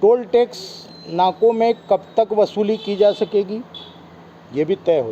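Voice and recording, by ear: Fairly slow and high-pitched, a man speaks with lively intonation. His tone is dark and mellow.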